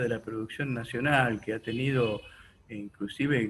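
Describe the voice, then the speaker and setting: A somewhat breathy man at a fairly slow pace, medium in pitch. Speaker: radio host. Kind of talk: radio interview questions.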